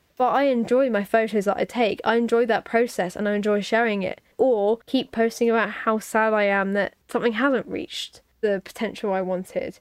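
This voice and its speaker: With a British accent, a woman speaks at a moderate pace and fairly high pitch, with fairly even intonation and hardly any pauses. The background is quiet. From United Kingdom. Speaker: podcast host. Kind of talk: casual chat.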